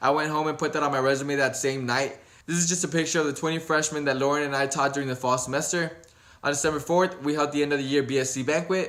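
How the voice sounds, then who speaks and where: A man with an American accent rushes along at a very fast pace with monotone, flat intonation. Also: fairly high pitch for a man. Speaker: vlogger. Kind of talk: year-review vlog narration.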